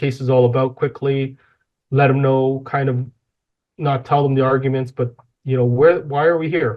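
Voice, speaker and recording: Speaking with a Canadian accent, the voice has monotone, flat intonation. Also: man. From Toronto, Canada (Rexdale, Etobicoke). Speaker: personal injury lawyer. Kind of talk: interview conversation. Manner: fast; not loud.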